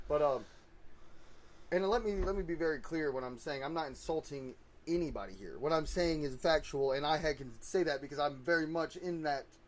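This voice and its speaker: A man speaks at a moderate pace, his fairly high voice rising and falling in an ordinary way. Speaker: podcast co-host. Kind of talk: casual chat. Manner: loud.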